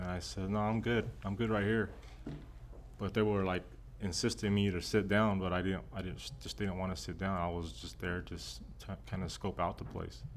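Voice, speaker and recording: With an American accent, a man speaks at a moderate pace in a very deep, low voice, his pitch varying ordinarily amid audible room echo. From Texas. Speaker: pastor. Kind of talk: personal testimony. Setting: church offices.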